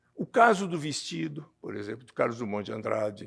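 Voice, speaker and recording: The recording is very clean, and the background is silent. A man's pitch swings very widely as he talks. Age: 70s. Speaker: writer and illustrator. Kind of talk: panel talk. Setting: stage with audience. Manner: halting, with many repetitions.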